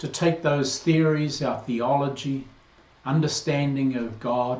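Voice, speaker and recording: An American accent with fairly even intonation, a fairly slow pace and audible room echo. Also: man, fairly high pitch for a man. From New Zealand. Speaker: priest. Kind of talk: video greeting to congregation.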